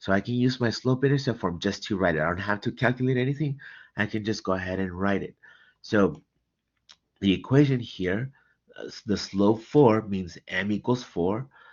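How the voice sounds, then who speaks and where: At a moderate pace, a man with an unremarkable speaking voice talks at a fairly low pitch with ordinary pitch variation. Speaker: math tutor. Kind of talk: tutorial.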